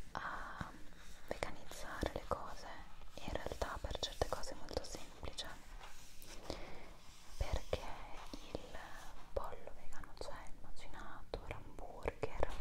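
A woman speaks at a very slow pace. Her speech has long, frequent pauses. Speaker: ASMR creator. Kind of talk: ASMR video. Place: home room. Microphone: earbuds.

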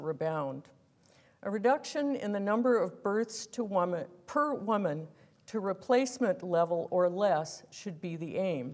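Against a quiet background, the speaker goes at a fairly slow pace. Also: woman. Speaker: guest lecturer. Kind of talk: lecture read from a prepared text. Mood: earnest, measured. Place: hall. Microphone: lapel.

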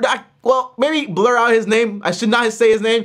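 Against a quiet background, a man projects a raised voice at a moderate pace. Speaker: personal finance youtuber. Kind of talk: casual vlog chat. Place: home room.

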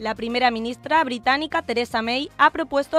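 Over music in the background, a high-pitched woman speaks at a fairly quick pace. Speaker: broadcasting student. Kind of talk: radio news headlines.

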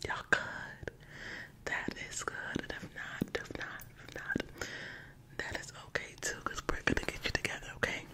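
A woman whispers at a moderate pace, her loudness swinging widely, with long, frequent pauses. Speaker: ASMR creator. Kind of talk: casual vlog chat. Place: home room. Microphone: studio mic.

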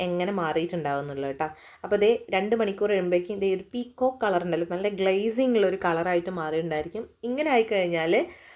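A woman with a medium pitch and ordinary pitch variation talks in a plain, everyday voice. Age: 30s. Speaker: beauty vlogger. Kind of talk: tutorial. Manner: casual.

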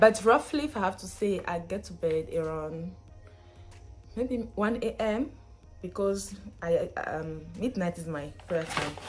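Faint music sits behind a woman who talks at a fairly slow pace, her loudness swinging widely and her speech broken by long, frequent pauses. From Benin. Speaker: student, vlogger. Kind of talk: casual talk to camera. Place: home room. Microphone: phone near.

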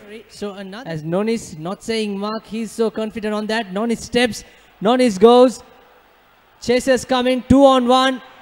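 A man speaks at a moderate pace with a high pitch, ordinary pitch variation and big swings in loudness over noticeable background noise. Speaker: rugby commentator. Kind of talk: live sports commentary.

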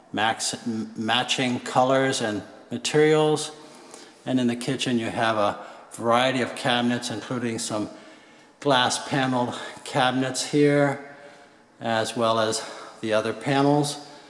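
Audible room echo surrounds a man who talks at a fairly slow pace. His intonation is fairly even, broken by long, frequent pauses. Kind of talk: home tour commentary. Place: kitchen. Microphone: phone near.

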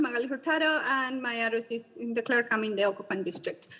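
A woman talks at a very fast pace. She speaks with a Spanish accent. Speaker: community member, parent advocate. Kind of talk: public comment.

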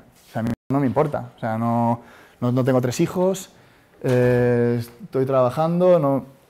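Here a man speaks at a fairly slow pace. His pitch is medium, with ordinary variation. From Spain. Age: 30s. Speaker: startup founder. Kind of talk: talk to audience. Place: classroom.

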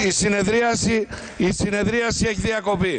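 A man speaks with a high pitch and a fairly bright tone. His intonation is fairly even.

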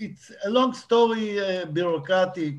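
Ordinary pitch variation in an Israeli accent. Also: man. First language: Hebrew. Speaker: documentary director. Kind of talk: panel Q&A. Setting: video call. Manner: halting. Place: home room. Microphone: video call.

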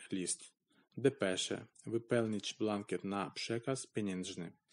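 Over a quiet background, a man with a Ukrainian accent speaks very slowly at a fairly low pitch. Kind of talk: text read aloud by a language learner.

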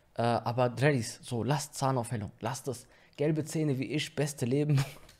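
A man speaks at a medium pitch with a slightly mellow tone. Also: fairly even intonation, moderate pace.

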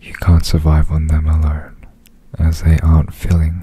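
A man whispers softly at a fairly slow pace, the sound dry with no echo. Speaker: performer doing ASMR interview. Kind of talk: soft ASMR reading and chat. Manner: soft, hushed, calming near-whisper. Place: home room. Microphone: studio mic.

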